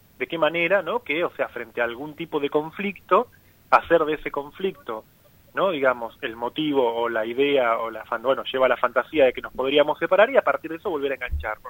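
Lively in intonation and fairly quick in pace, a man talks in a plain, everyday voice at a fairly high pitch. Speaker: psychoanalyst and author. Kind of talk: radio interview.

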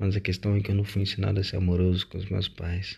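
Over a quiet background, a man speaks in a very deep, low pitch, somewhat breathy and flat in a monotone. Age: 20s. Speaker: podcaster. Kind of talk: personal monologue.

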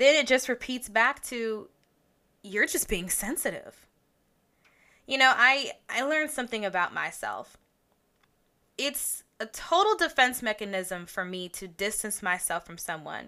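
With a bright, sharp tone and a fairly high pitch, a woman speaks at a fairly slow pace with lively intonation, long, frequent pauses and big swings in loudness, in a very clean recording with a silent background. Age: 20s. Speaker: podcast host. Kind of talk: personal monologue podcast. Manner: laughs often.

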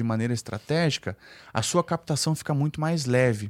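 A man speaks in a plain, everyday voice, fairly high in pitch with lively intonation. The recording is very clean with a silent background, its sound dry and close with no echo. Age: 30s. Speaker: real estate developer and teacher. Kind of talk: podcast interview.

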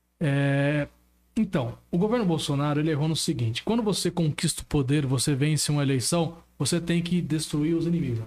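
A man with a fairly high, somewhat breathy voice speaks at a fairly quick pace, his pitch varying in an ordinary way. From Brazil, São Paulo state. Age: 20s. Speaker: local politician. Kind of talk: political talk on a live stream.

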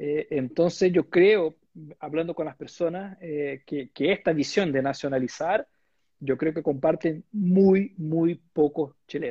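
With a Portuguese accent, a man speaks very slowly in a dark, mellow tone with ordinary pitch variation. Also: fairly high pitch for a man, dry, close sound with no echo. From Brazil. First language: Portuguese (speaking Spanish). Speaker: bank investment executive. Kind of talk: interview. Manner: halting.

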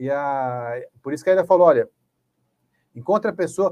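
Lively intonation at a fairly quick pace. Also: man. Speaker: educator and training school director. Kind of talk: panel discussion.

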